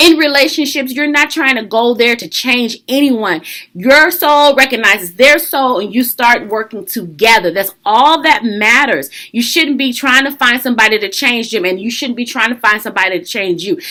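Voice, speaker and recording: Animated and hardly pausing, a woman speaks in a high pitch with a bright, sharp tone. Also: lively intonation, moderate pace. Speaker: life coach. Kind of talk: casual talk to camera, advice vlog.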